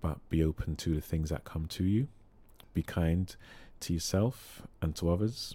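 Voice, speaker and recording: In a calm, dark, mellow tone, the speaker moves at a moderate pace with long, frequent pauses and ordinary pitch variation, on a very clean recording with a silent background. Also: man, very deep, low pitch for a man. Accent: London. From London. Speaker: singing therapist and choir leader. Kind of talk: casual interview chat. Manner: calm, sometimes humorous.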